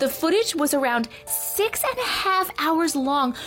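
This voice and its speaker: A woman speaking at a fairly slow pace with lively intonation, amid noticeable background noise. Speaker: storyteller reading viewer-submitted stories. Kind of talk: reading aloud. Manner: hushed, suspenseful storyteller pacing; conversational, casual commentary between stories.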